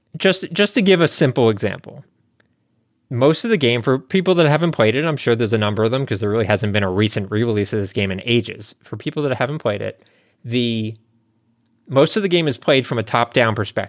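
An unremarkable speaking voice from a man, medium in pitch, fairly quick, with lively intonation, in a very clean recording with a silent background. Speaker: podcast co-host. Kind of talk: casual banter, podcast chat. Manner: jokey, interrupts often.

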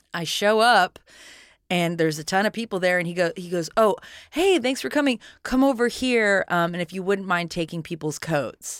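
On a very clean recording with a silent background, a woman of medium pitch uses a normal speaking voice with lively intonation at a moderate pace. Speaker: podcast host. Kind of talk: casual comedic chat.

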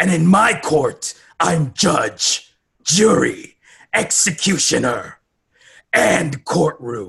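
A man's put-on character voice, menacing in tone, fairly high in pitch, at a very slow pace. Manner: menacing, authoritative.

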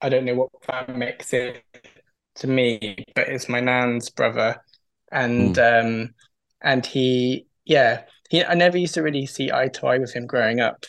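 With an English accent, a man speaks at a moderate pace and medium pitch, his intonation fairly even, leaving long, frequent pauses. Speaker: caller, new parent. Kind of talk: casual call-in game chat. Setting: video call. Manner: halting.

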